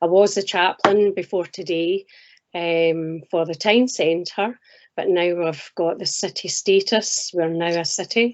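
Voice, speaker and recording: A woman speaks at a very slow pace in a Scottish accent. Her pitch is fairly low and her intonation fairly even. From Scotland. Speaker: minister and chaplain. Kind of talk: interview.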